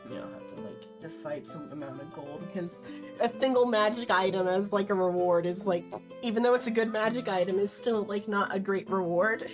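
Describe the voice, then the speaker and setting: Over music in the background, a woman talks at a fairly quick pace and medium pitch, with ordinary pitch variation and big swings in loudness. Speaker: dungeon master. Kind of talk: casual live stream talk.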